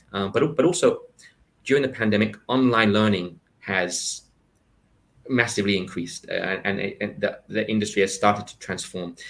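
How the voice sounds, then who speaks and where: Spoken at a moderate pace with ordinary pitch variation. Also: man, fairly low pitch for a man. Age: 40s. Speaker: podcast host and career advisor. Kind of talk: interview. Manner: halting, many repeated words.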